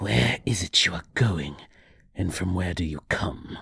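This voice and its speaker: Putting on a character voice, a man speaks fairly slowly at a very deep, low pitch, sounding raspy and hissing. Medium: read story. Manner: archaic, menacing, riddling.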